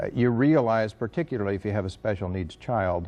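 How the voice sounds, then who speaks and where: At a moderate pace, a man in an ordinary speaking voice talks with ordinary pitch variation and a fairly low pitch. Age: 60s. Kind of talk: interview.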